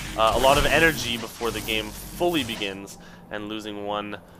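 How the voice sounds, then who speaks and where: Noticeable background noise runs through the clip. A man is speaking. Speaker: esports commentator. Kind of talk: live game commentary. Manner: halting.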